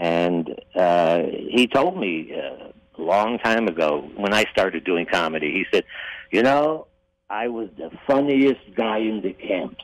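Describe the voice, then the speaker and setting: A man with an ordinary speaking voice, fairly low in pitch, with an American accent, lively intonation and a fairly slow pace. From Ohio, US Midwest (Toledo). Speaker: actor and comedian. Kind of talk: interview.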